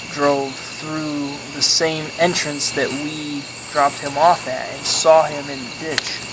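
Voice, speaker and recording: The speech moves at a very slow pace, with noticeable background noise behind it. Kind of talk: campfire story told casually.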